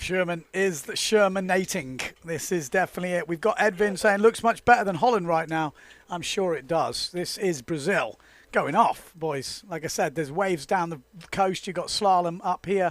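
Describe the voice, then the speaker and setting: The man's voice is loud and high-pitched. He keeps a moderate pace with ordinary pitch variation. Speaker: windsurfing commentator. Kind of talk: live commentary.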